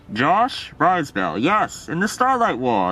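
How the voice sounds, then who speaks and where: Putting on a cartoonish character voice, a man swings his pitch very wide. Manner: hesitant, halting, filler-laden.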